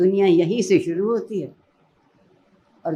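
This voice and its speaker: A woman speaks at medium pitch with ordinary pitch variation. Her tone is dark and mellow. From Pakistan. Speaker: educationist and Urdu language expert. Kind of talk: motivational speech.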